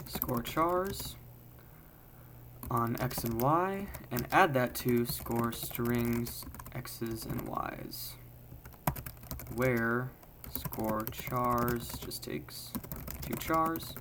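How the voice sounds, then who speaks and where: Over noticeable background noise and audible room echo, the speech moves very slowly with long, frequent pauses. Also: man. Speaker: programming tutorial creator. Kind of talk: live coding tutorial.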